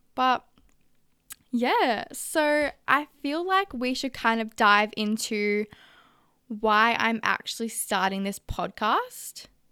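A woman with an Australian accent, fairly high-pitched and bright and sharp in tone, with lively intonation at a very slow pace on a very clean recording with a silent background. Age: young. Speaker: podcast host, barista. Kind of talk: personal monologue podcast. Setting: home recording at a vanity.

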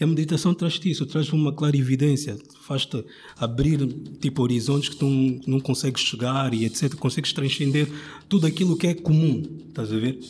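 This man has a normal speaking voice with a fairly high pitch. He talks at a fairly quick pace with ordinary pitch variation. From Angola (Luanda). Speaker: rapper and design student. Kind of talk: casual chat.

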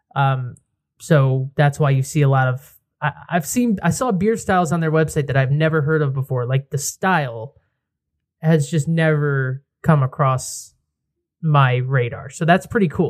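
In a very clean recording with a silent background, a man talks at a fairly slow pace in a fairly high, somewhat breathy voice with ordinary pitch variation. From Connecticut, near New Haven. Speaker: podcast host. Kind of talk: casual chat. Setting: outdoor patio.

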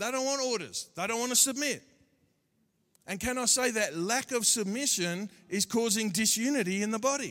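At a moderate pace, a man talks in an animated way with a bright, sharp tone and an extremely high pitch. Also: ordinary pitch variation. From Australia. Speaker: pastor. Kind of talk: sermon. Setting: church.

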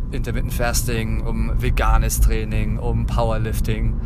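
Against noticeable background noise and audible room echo, a man speaks with a very deep, low pitch. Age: 30s. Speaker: podcast host and radio worker. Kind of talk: casual monologue. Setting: in a car. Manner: hesitant with many fillers.

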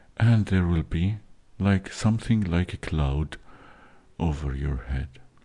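In a very deep, low voice with a dark, mellow tone, a man speaks at a fairly slow pace in a calm, soothing tone, leaving long, frequent pauses. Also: lively intonation. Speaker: meditation host. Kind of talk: guided meditation. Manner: slow, calm, soothing, hushed instructions with long pauses; halting, with filler words.

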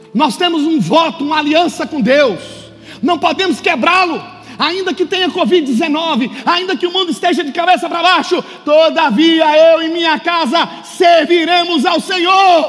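A man's extremely high-pitched voice with ordinary pitch variation, fairly slow in pace, amid noticeable background noise. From Brazil. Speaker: pastor. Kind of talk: sermon. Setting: church. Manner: animated.

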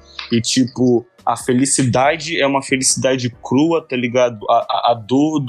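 Here a man speaks at medium pitch. His intonation stays fairly even. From Brazil, Manaus (Amazonas), born in Salvador. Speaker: rapper and beatmaker. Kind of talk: interview. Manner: casual slang-heavy, halting repetitions.

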